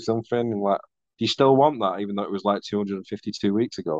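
The sound is dry and close with no echo as a man speaks in a fairly low voice. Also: quiet background. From northern England; Manchester. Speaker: tattoo artist. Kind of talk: casual interview chat. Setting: video call. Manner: casual, swears often.

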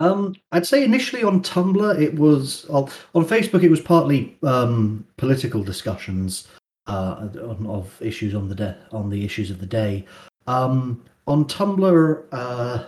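Somewhat breathy, a man talks at a medium pitch. His pitch swings very widely. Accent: British. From UK. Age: 20s. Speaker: internet personality. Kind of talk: interview. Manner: halting.

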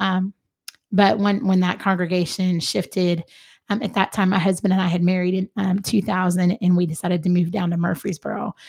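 In a very clean recording with a silent background and a dry, close sound with no echo, a woman talks at a fairly quick pace, somewhat breathy, at medium pitch with fairly even intonation. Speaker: guest. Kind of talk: casual interview, sharing testimony.

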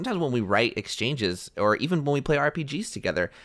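Very fast speech with vocal fry sweeps through very wide pitch swings. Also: man. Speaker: podcast host. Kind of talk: casual chat.

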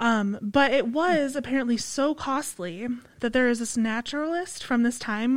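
Lively intonation marks this woman's fairly high-pitched, ordinary speaking voice. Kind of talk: casual chat. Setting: studio.

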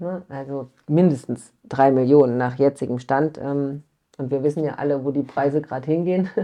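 A woman with a very deep, low voice speaks at a moderate pace with fairly even intonation. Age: 30s. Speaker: family companion in children's hospice service. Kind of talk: interview.

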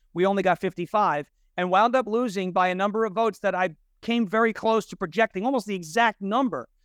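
A man talks at a very fast pace in a high pitch, with ordinary pitch variation. The sound is dry and close, with no echo. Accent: New York. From New York. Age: 30s. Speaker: Trump impersonator and show host. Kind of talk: casual interview chat.

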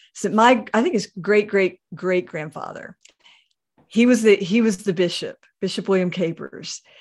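A woman talks in an ordinary speaking voice, keeping a moderate pace and ordinary pitch variation. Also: medium pitch for a woman. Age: 50s. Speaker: pastor. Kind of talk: interview.

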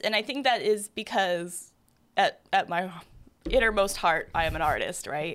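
At a fairly slow pace, a woman with an unremarkable speaking voice uses lively intonation on a very clean recording with a silent background. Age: 30s. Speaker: photographer. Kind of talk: casual chat.

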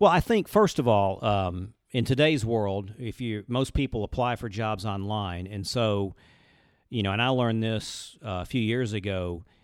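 On a very clean recording with a silent background, a man with an Alabama accent speaks at a fairly low pitch with ordinary pitch variation. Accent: Southern US (Alabama). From US South, Birmingham, Alabama. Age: 50s. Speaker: commercial banker. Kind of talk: casual chat. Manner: fast.

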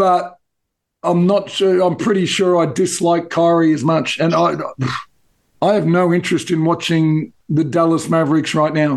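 Speaking with an Australian accent, a man uses a high pitch, fairly even intonation, very even loudness and a moderate pace. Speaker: basketball podcast co-host. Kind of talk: casual chat.

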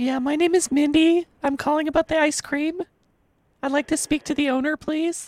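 Putting on a squeaky character voice, a woman speaks at a high pitch and moderate pace with monotone, flat intonation, the sound dry and close with no echo. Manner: polite, businesslike.

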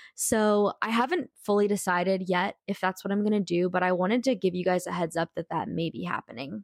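An animated tone at a moderate pace, with ordinary pitch variation and a dry, close sound free of echo. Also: woman. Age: 20s. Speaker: podcast host. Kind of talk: casual solo monologue.

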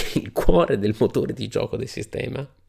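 A man speaks at a moderate pace in an animated tone, on a very clean recording with a silent background. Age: 40s. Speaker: wargaming podcast host. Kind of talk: solo podcast monologue.

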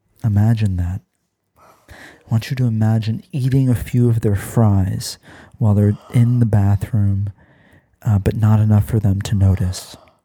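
A man speaks fairly slowly in a soothing tone with fairly even intonation. His voice is dark and mellow, and somewhat breathy. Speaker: podcast host. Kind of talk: guided meditation parody, ASMR-style. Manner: soft-spoken, soothing, slow; deadpan, absurd calm delivery.

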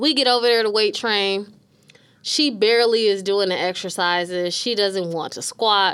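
Using an unremarkable speaking voice with an American accent, a woman talks at a moderate pace and medium pitch, with ordinary pitch variation. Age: 30s. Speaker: podcast co-host, mortgage professional. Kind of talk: casual chat. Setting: studio.

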